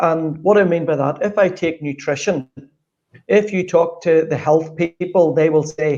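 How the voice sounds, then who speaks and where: At a fairly slow pace, a man with a Northern Irish accent speaks in a fairly high pitch with fairly even intonation. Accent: Northern Irish (Belfast). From Northern Ireland, Belfast. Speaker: sports strategist. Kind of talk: interview.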